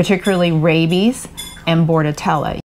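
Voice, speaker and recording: In a plain, everyday voice, someone talks at a moderate pace over light background noise. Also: woman. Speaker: RV travel vlogger. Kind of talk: casual vlog advice. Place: home room.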